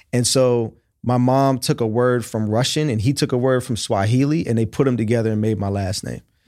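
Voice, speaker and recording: A man with an American accent and a normal speaking voice talks at a fairly quick pace with a medium pitch and fairly even intonation on a very clean recording with a silent background. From Oakland, California. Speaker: tech company founder and CEO. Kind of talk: interview.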